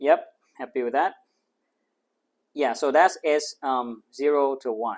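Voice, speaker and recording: Here a man speaks at a fairly slow pace. His pitch is fairly high and his intonation fairly even. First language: not English. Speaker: maths tutor. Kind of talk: tutorial. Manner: thinking aloud, hesitant with fillers.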